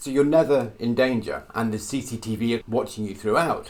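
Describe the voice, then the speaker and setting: Here a man has an unremarkable speaking voice. He talks at a moderate pace and a medium pitch. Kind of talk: theatre review voiceover to camera. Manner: conversational, wry, self-deprecating humour.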